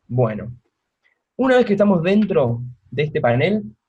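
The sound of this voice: The man's voice has a slightly mellow tone and a slightly husky edge.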